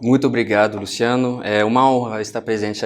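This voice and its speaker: A man's medium-pitched voice holds a monotone, flat intonation at a moderate pace. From France. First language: French (speaking Portuguese). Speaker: finance executive. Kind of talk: TV interview. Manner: halting, with fillers.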